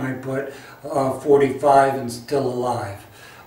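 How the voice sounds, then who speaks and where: A man's fairly slow, monotone, flat speech with audible room echo and noticeable background noise. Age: 60s. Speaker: health enthusiast sharing personal story. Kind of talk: personal testimony to camera. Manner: halting, with many fillers.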